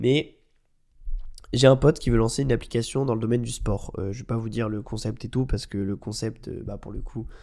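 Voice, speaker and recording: In a very clean recording with a silent background, a man of medium pitch and a dark, mellow tone speaks at a fairly quick pace. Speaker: podcast host and marketing agency founder. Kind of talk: casual solo podcast talk. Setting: at home, quiet room. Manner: relaxed, hesitant with many fillers.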